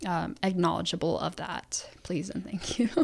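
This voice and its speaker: With an American accent, a woman speaks on a very clean recording against a silent background. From US Midwest, Illinois (adopted from Ukraine as toddler). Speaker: university student. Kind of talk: interview. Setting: studio. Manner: halting, many fillers.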